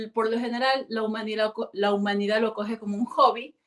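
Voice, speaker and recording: Using a fairly high pitch, a woman talks at a moderate pace. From Ecuador, Guayaquil. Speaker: singer. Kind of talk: interview. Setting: video call. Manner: halting.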